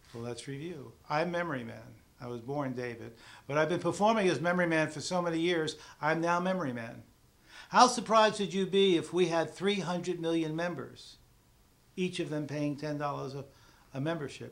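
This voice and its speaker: At a fairly quick pace, a man with a fairly high pitch and ordinary pitch variation speaks amid audible room echo, his loudness swinging widely. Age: 60s. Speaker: memory teacher and presenter. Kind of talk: sales pitch. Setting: studio.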